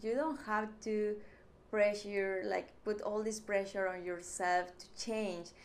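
In a strong Mexican accent, a woman speaks at a very slow pace with medium pitch and fairly even intonation. Room echo is audible. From Mexico. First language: Spanish. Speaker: YouTuber. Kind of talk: vlog monologue.

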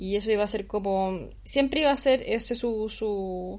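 This woman has an everyday medium pitch. She speaks with a Chilean accent. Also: quiet background. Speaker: podcast co-host. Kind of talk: casual chat.

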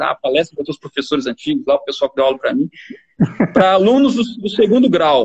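A man speaks in a high voice at a very fast clip. His pitch swings very widely. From Rondônia, Brazil (born in Paraná). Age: 30s. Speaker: agronomist and consultancy founder. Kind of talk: casual interview on a livestream.

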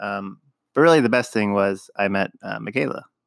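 A man with an unremarkable speaking voice talks at a fairly quick pace in a fairly low pitch with ordinary pitch variation, on a very clean recording with a silent background. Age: 20s. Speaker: host's husband. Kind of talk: casual chat.

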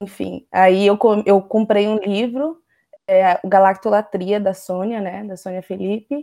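A dark, mellow tone at a fairly slow pace, with fairly even intonation and big swings in loudness. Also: woman, medium pitch for a woman. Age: 20s. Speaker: vegan activist and author. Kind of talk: interview.

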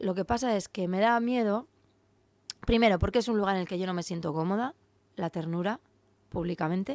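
She has an unremarkable speaking voice, a woman at medium pitch with fairly even intonation. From Navarre, Spain (Cascante, Ribera). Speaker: rapper. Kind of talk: casual interview.

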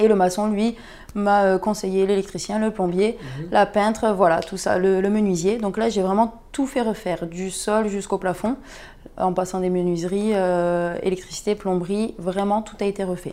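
A woman speaks at a moderate pace in a medium-pitched, dark, mellow tone with fairly even intonation. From southern France, Perpignan. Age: 20s. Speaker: property investor, medical sales rep. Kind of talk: interview. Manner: halting.

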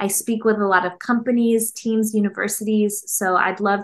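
Using a normal speaking voice, a woman with a fairly high pitch speaks at a moderate pace. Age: 30s. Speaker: clinical psychologist and author. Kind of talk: casual interview.

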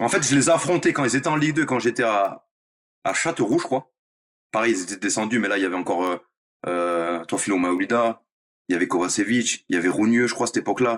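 Lively intonation marks a man talking at a very fast pace broken by long, frequent pauses. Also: medium pitch for a man. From France, Nice. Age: 30s. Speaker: professional footballer. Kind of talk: interview. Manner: hesitant, filler-heavy.

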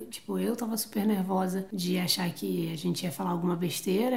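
With vocal fry and lively intonation, a woman speaks at a fairly quick pace in a medium pitch. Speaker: travel podcaster. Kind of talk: casual chat.

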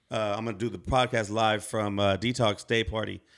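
This is a man's voice. It rests at a medium pitch. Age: 30s. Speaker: podcast host. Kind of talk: casual chat. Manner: animated.

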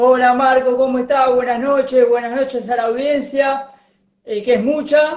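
Extremely high in pitch for a man, his voice keeps a monotone, flat intonation at a fairly slow pace. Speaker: football commentator. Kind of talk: casual chat; sports news report.

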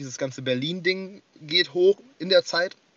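A man talks at a high pitch. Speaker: rapper and forum moderator. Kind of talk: casual chat. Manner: hesitant, many fillers.

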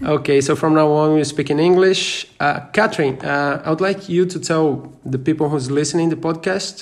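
In a Portuguese accent, a man speaks at a moderate pace with hardly any pauses. His fairly high voice keeps fairly even intonation and very even loudness. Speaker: podcast host. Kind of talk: interview. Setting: traveling in Germany. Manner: halting.

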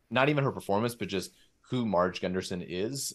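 A man talks in an American accent with ordinary pitch variation. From Southern California. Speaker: podcast host. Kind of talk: casual chat.

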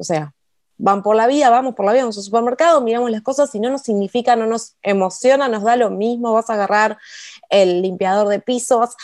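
A woman's fairly high voice at a fairly quick pace, ordinary pitch variation and a quiet background. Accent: Rioplatense. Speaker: writer and copywriter, podcast co-host. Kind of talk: casual instructional chat.

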